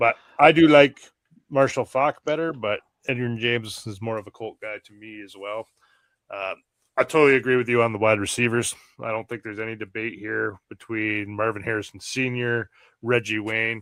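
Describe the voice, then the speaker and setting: In a dry, close sound with no echo, a man with an American accent speaks at a fairly quick pace in a medium pitch, his intonation fairly even but his loudness swinging widely. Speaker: fantasy football podcast co-host. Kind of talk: casual chat.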